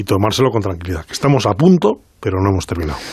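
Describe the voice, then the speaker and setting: A man talks at a very fast pace. His voice is fairly low and somewhat breathy. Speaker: doctor. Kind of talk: radio interview.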